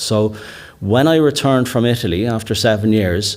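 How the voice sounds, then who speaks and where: Fairly low-pitched man with a Dublin accent, amid noticeable background noise. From Ireland, Dublin (Kilmainham, Inchicore). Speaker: rewilder and author, conference keynote speaker. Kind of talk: keynote talk. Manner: halting, many repetitions and fillers.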